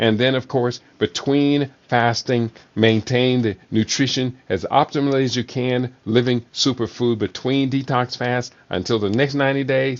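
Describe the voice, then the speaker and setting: Here is a man with an unremarkable speaking voice, medium in pitch. He keeps a moderate pace and fairly even intonation. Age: 60s. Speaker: talk show host, health educator. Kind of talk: live solo show on nutrition. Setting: live online broadcast.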